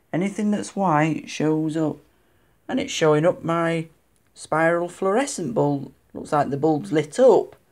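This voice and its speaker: A woman's fairly low voice at a fairly slow pace, lively in intonation, over a quiet background. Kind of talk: casual show-and-tell narration. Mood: pleased, mildly excited. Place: home room. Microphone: phone near.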